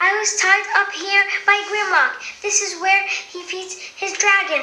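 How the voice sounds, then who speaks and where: A woman puts on a squeaky character voice at an extremely high pitch, talking at a fairly slow pace over clear background noise. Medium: read story.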